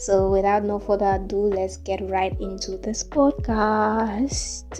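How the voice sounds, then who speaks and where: A woman at a medium pitch, fairly slow and monotone with flat intonation, over music in the background. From Sierra Leone. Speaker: podcaster. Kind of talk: solo podcast monologue.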